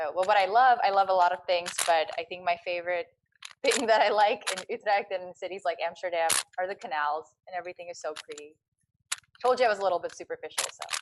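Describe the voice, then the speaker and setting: A woman talks very fast with an American accent and big swings in loudness. Her medium pitch shows ordinary pitch variation. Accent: American accent when speaking Dutch. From US. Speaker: vlogger. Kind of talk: panel Q&A. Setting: online live talk.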